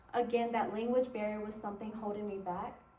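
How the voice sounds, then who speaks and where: The speaker has a Spanish accent. Audible room echo and noticeable background noise are present. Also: woman. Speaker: college intern presenting to teachers. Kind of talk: presentation to educators.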